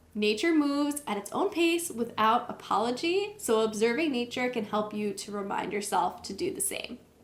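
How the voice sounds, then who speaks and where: Against noticeable background noise, a woman talks at a moderate pace with a high pitch, very wide pitch swings and hardly any pauses. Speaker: wellness vlogger. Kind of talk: talking-head tutorial.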